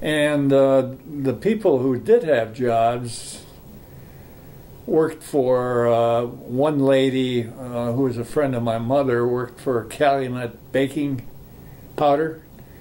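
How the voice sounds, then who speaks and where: Speaking very slowly with fairly even intonation, a man with an American accent and a medium pitch is heard amid audible room echo and noticeable background noise. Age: 80s+. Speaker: grandfather sharing family history. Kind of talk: family oral history interview. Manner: halting, many fillers.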